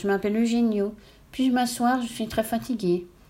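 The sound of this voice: A woman uses a nasal, put-on character voice at a fairly high pitch, in a very clean recording with a silent background. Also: moderate pace.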